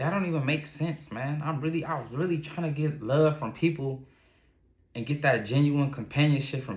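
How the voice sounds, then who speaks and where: A man talks at a moderate pace with an American accent, his voice fairly high and somewhat breathy. The pitch varies in an ordinary way, and the recording is very clean with a silent background. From Ohio, US. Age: 30s. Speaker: entrepreneur and vlogger. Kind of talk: personal testimony monologue. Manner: halting, repetitive restarts.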